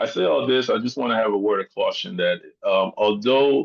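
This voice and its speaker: The recording is dry and close with no echo as a man speaks at a moderate pace. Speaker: symposium speaker on aviation careers. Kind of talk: presentation. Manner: hesitant, many fillers.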